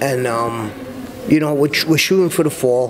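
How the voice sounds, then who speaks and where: A man with a Brooklyn accent at a fairly high pitch and a moderate pace, against noticeable background noise. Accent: New York, Brooklyn. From Brooklyn, New York. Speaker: character actor. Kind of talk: interview answer. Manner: casual, conversational.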